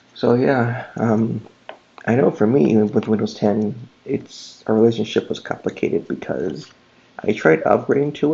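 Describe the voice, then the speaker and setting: A man speaks quietly with vocal fry. His tone is dark and mellow. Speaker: tech YouTuber. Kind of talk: casual screen-recording commentary. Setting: at home late at night. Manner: talking quietly.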